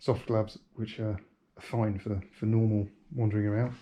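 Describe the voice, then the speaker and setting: A man mumbles at a fairly slow pace. His fairly low voice is somewhat breathy. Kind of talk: casual talk to camera. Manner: mumbling.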